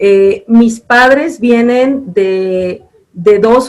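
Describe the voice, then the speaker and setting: A woman's voice with fairly even intonation. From Mazatlán, Sinaloa, Mexico. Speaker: university program director. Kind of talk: interview.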